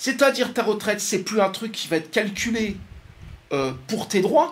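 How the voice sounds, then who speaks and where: Animated and high-pitched, a man speaks at a moderate pace with lively intonation as noticeable background noise plays behind him. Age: 60s. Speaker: economist. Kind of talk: talk to an audience. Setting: radio studio. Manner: hesitant, repeats words.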